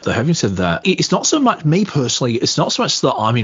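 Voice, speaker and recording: With an Australian accent, a man talks fairly quickly. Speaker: podcaster. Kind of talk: casual chat.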